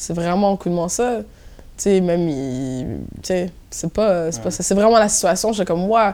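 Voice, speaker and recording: The voice has a dark, mellow tone and lively intonation. It moves at a fairly slow pace with long, frequent pauses. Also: woman. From Montréal-Nord, Quebec, Haitian family. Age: 20s. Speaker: DJ and event programmer. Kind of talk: casual interview chat. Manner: energetic.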